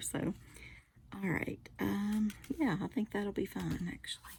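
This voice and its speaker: The voice is a whisper. It stays soft-spoken throughout. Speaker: card-making crafter. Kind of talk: casual craft tutorial chat. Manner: soft-spoken, near whisper.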